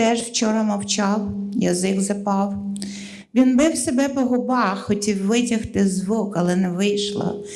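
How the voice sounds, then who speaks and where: A woman with a Russian accent speaks at a fairly slow pace with medium pitch and fairly even intonation. Audible room echo surrounds her voice. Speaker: poet. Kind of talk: poetry reading.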